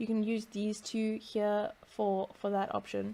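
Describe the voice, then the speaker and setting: Moderately paced speech from a woman, a plain, everyday voice pitched fairly high. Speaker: VR developer tutorial maker. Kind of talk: screen-recorded tutorial.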